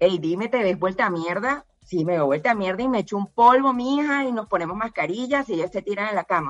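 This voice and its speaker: A normal speaking voice from a woman at medium pitch, with lively intonation and a moderate pace. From Colombia, Barranquilla. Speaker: cancer survivor. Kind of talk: testimony.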